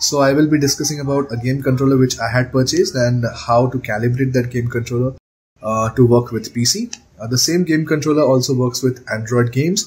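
A man speaks with fairly even intonation in a somewhat breathy voice. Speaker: tech channel host. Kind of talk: tutorial intro to camera. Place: home room. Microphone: phone near.

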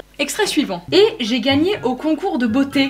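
A woman speaks in a high pitch at a fairly slow pace. Light background noise is present. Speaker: youtuber host. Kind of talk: casual vlog chat, reading extracts aloud. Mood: amused, laughing. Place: home room.

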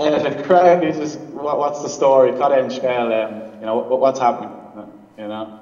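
In an Irish accent, a man talks with big swings in loudness, and audible room echo is present. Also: ordinary pitch variation, moderate pace. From Ireland. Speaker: remote interview guest. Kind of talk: interview answer. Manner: hesitant, casual. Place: office. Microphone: video call.

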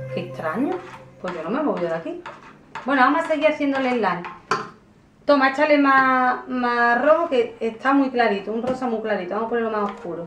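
A woman speaks at a fairly quick pace with a high pitch. Audible room echo and light background noise are present. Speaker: kids channel host. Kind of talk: casual vlog chat. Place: home room. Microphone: camera far.

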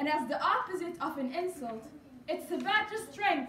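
Speech at a moderate pace, with audible room echo and light background noise. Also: woman. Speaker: speaker. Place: hall. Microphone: camera far.

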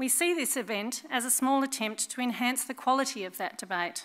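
Her tone is bright and sharp, with ordinary pitch variation. The woman speaks at a fairly quick pace. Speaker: event host. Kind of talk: formal welcome speech. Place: hall. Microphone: headset.

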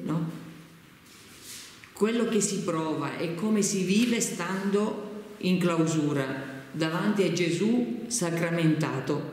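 A woman's fairly low voice at a very slow pace with long, frequent pauses and audible room echo. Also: ordinary pitch variation. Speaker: interviewer. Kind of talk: interview question. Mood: warm, smiling, gentle. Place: home room.

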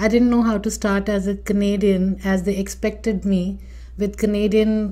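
At a fairly slow pace, a woman speaks at a medium pitch with a dark, mellow, somewhat breathy tone and monotone, flat intonation. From India, Delhi. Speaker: immigration consultant and podcast host. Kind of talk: personal story monologue.

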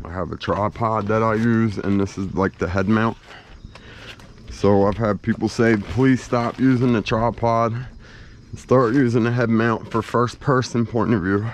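A man at a fairly slow pace with fairly even intonation, in dry sound with no echo and light background noise. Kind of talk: casual vlog chat. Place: garden. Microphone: phone near.

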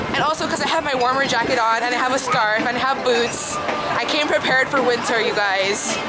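A woman talks at a fairly quick pace with ordinary pitch variation. Loud background noise runs underneath her voice. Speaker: vlogger. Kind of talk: casual vlog chat. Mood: cheerful, chatty. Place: street. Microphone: phone near.

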